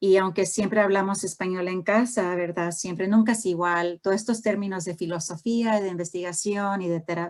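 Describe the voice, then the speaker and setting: The speaker talks with an American accent and hardly any pauses. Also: woman, medium pitch for a woman, fairly even intonation, moderate pace. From US, Houston, Texas (born in Honduras). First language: English-dominant (Spanish at home) (speaking Spanish). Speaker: professor, family therapist. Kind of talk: lecture. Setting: video call. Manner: halting, many fillers.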